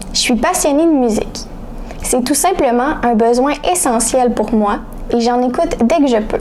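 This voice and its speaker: A woman talks at a fairly slow pace in a high pitch, with ordinary pitch variation and very even loudness, against noticeable background noise. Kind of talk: reading a first-person essay aloud.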